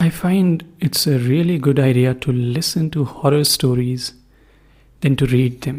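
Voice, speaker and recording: Speaking at a fairly slow pace, a man with a fairly high pitch sounds somewhat breathy, with ordinary pitch variation and very even loudness. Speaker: podcast host. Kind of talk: podcast intro, casual talk.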